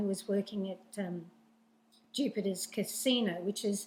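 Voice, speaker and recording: The voice is somewhat breathy, with an Australian accent. Its intonation is flat and monotone. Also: woman. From Sydney, Australia. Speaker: newspaper owner, former dancer. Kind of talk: interview. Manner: halting.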